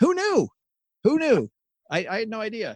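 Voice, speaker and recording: In an American accent, a man talks at a moderate pace with an animated tone and very wide pitch swings, the sound dry and close with no echo. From US farm country. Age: 50s. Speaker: podcaster, former financial advisor. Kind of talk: interview.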